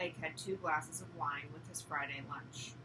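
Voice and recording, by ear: At a moderate pace, a woman talks in a croaky voice with a bright, sharp tone.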